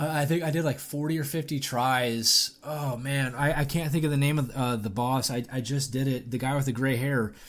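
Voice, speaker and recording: A fairly high-pitched man with fairly even intonation, very even loudness, and hardly any pauses. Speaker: gaming podcast co-host. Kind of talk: casual chat. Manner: fast; halting.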